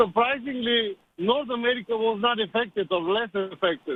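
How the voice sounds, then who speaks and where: A high-pitched man's voice at a fairly slow pace, with ordinary pitch variation. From Bulgaria. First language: Bulgarian. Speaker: caller. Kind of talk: radio call-in.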